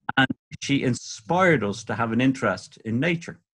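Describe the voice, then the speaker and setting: Speaking with a Dublin accent, a man uses lively intonation at medium pitch and a moderate pace. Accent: Dublin Irish. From Ireland, North Dublin. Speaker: birdwatcher and author. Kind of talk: podcast interview.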